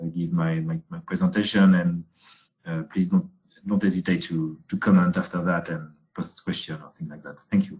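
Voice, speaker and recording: A man's very deep, low voice in a French accent, at a moderate pace with ordinary pitch variation. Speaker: researcher. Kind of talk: webinar presentation. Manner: halting, many fillers.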